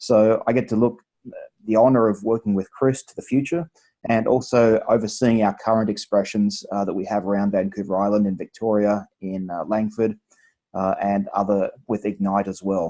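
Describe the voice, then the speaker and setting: A man with an Australian accent speaks at a moderate pace in a dark, mellow tone and fairly low pitch, his intonation fairly even but his loudness swinging widely. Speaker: church multiplication pastor. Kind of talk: video interview.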